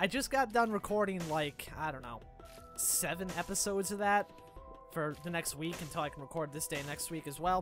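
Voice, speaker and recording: The talking runs fairly quickly as music sounds in the background. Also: man. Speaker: gaming YouTuber. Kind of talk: casual let's play commentary.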